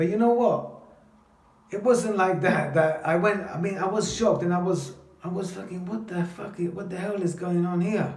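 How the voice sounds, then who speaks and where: Someone with a London accent speaks in an animated tone at a moderate pace with ordinary pitch variation, amid audible room echo and noticeable background noise. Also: man, high pitch for a man. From London, England (from age 7; early childhood in Italy). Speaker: vlogger telling his life story. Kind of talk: personal storytelling monologue. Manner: animated, halting with repetitions.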